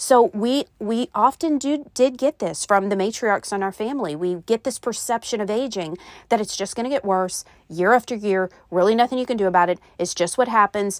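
At a fairly quick pace, a woman with a fairly high pitch speaks in an animated tone with ordinary pitch variation, in a dry, close sound with no echo on a very clean recording with a silent background. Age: 50s. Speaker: podcast host, health coach. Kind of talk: solo podcast talk.

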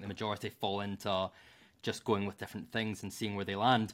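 The speaker has a Glasgow accent. The recording is very clean with a silent background. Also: man. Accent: Scottish (Glasgow). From Scotland. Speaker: marketing professional. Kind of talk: casual interview chat.

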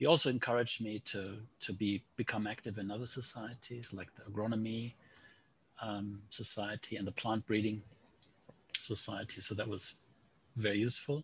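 With a German accent, a man speaks at a moderate pace with long, frequent pauses, his fairly low voice somewhat breathy and his intonation fairly even. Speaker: statistics professor. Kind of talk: interview.

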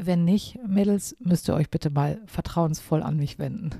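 A woman's fairly low voice in a dark, mellow tone, at a fairly slow pace with ordinary pitch variation. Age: 50s. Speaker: podcaster. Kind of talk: solo podcast monologue. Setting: at home overlooking the garden. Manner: casual, with fillers.

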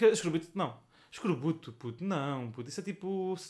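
This man, who has an unremarkable speaking voice, delivers his words fairly quickly and with lively intonation. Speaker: podcast co-host. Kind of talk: casual chat.

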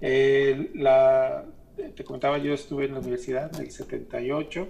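A man's fairly high voice at a very slow pace. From Mexico, Guadalajara. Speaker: artist and curator. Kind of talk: radio interview.

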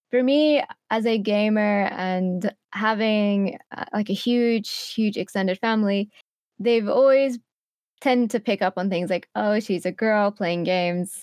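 A woman with an unremarkable speaking voice talks at a fairly slow pace, with a fairly high pitch and ordinary pitch variation. The sound is dry and close with no echo, against a quiet background. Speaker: content creator and streamer. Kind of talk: casual interview chat.

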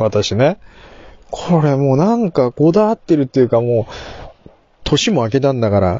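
A somewhat breathy male voice at a fairly quick pace, with very wide pitch swings. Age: middle-aged. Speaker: podcast host. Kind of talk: casual monologue. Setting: in a car.

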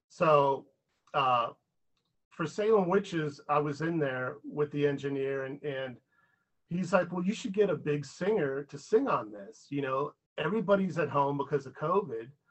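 A man with a fairly high pitch speaks at a moderate pace in a normal speaking voice, with ordinary pitch variation and big swings in loudness. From Pittsburgh, Pennsylvania. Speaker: rock musician. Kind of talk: interview. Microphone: too quiet.

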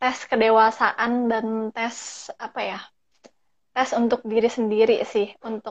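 A woman with a fairly high pitch at a very slow pace over a quiet background. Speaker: podcast host. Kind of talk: casual chat. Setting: video call. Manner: code-switches English often.

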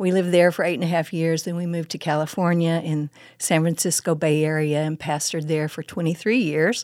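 A woman with an Oklahoma accent speaks at a fairly low pitch with fairly even intonation and a fairly quick pace. The recording is very clean, with a silent background. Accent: Oklahoma Southern US. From Oklahoma, Muskogee and Midwest City. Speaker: women's ministry speaker, former pastor. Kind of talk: casual interview with teaching. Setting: studio.

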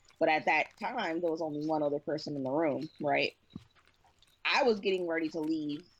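Fairly quick in pace, a woman talks in a very deep, low pitch with ordinary pitch variation. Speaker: podcast co-host. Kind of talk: casual chat.

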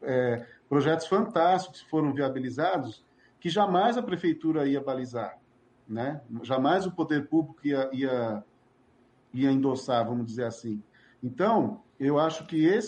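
A normal speaking voice, fairly slow in pace, with lively intonation. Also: man, fairly high pitch for a man. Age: 50s. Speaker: cultural manager. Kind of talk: interview.

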